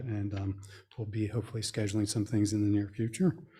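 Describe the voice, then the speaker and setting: A man's dark, mellow, somewhat breathy voice in a flat monotone, over a very clean recording with a silent background. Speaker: environmental advisory committee member. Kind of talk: committee report at public meeting. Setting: township board meeting room. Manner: halting, many fillers.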